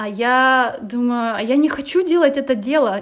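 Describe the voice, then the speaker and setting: Lively intonation marks this woman's speech. Her pitch is high. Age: 20s. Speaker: design thinking trainer. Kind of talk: interview.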